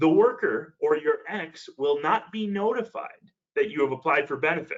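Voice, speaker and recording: A man is talking. His intonation is lively. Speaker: financial advisor. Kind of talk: webinar presentation. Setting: online webinar. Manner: fast.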